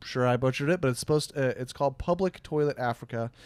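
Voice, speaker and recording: In a Midwestern American accent, a man speaks with a fairly high pitch and lively intonation. The recording is very clean, with a silent background. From US Midwest. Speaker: podcast host. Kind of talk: casual chat. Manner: halting, many fillers.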